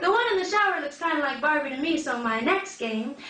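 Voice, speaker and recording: A woman's high-pitched, raised and projected voice at a fairly quick pace. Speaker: spoken word poet. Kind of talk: live spoken word poetry performance.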